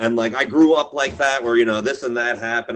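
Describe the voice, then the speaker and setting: An unremarkable speaking voice, fairly even in intonation and fairly quick in pace. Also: man. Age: 40s. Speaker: record label owner and show booker. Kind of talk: casual podcast interview. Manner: casual, profane, rambling speech with fillers.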